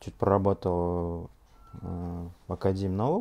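The man's tone comes across dark and mellow. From Russia, Ufa (Bashkortostan); Bashkortostan, Russia. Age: 30s. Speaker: scientist giving product testimonial. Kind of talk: testimony. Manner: halting, many filler sounds. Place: home room.

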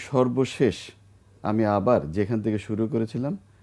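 The man's voice has a dark, mellow tone. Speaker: bank chairman. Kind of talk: interview. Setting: studio.

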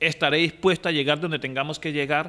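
Bright and sharp in tone, this man's voice sits fairly high in pitch. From Quibdó, Chocó, Colombia; Chocó, Colombia. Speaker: municipal ombudsman. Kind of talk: news interview. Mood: serious, concerned. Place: office. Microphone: handheld.

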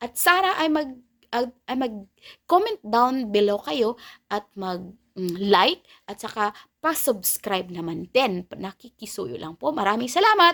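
Speaking at a fairly slow pace with a Filipino accent, a woman has a fairly high pitch, a bright, sharp tone, very wide pitch swings and big swings in loudness. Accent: Filipino English and Tagalog. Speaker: YouTube reaction vlogger. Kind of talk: angry rant, scornful reaction commentary. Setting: home recording, reacting to a video clip. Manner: heated, indignant, repeating 'nako, nako' in sputtering outrage; sarcastic, exasperated, jabbing at the target.

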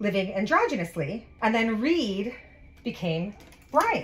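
Noticeable background noise under a female voice that swings very widely in pitch. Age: 40s. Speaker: make-up artist. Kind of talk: casual chat. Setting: on set.

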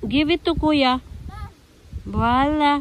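A woman talks in a high-pitched voice. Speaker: family vlogger. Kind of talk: casual vlog narration. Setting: outdoors at castle and church.

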